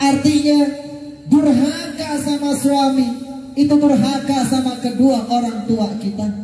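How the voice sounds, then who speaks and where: A man speaks fairly slowly at an extremely high pitch, his intonation fairly even, with noticeable background noise behind him. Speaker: Islamic preacher. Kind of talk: Eid sermon from a pulpit.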